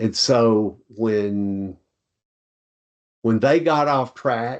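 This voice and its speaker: In a Tennessee accent, a man talks at a very slow pace, his medium pitch showing ordinary pitch variation. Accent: Southern US (Tennessee). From US South. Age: 70s. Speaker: retired college dean and charity founder. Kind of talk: interview conversation.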